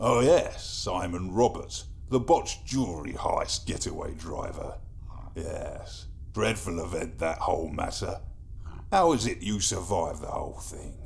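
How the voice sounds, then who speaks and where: A man's wheezy, put-on character voice at a moderate pace, with clear background noise behind it. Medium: audio drama. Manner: wry, ironic.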